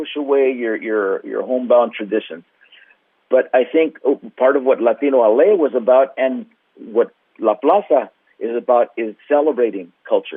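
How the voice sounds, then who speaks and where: This man has an American accent, a medium pitch, ordinary pitch variation and a moderate pace. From Los Angeles (Wilmington). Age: 60s. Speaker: cultural center representative. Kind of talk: interview. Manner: hesitant, many fillers.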